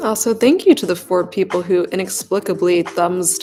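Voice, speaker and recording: A woman is mumbling. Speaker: live streamer coding. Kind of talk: live coding stream. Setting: home, sitting on the floor.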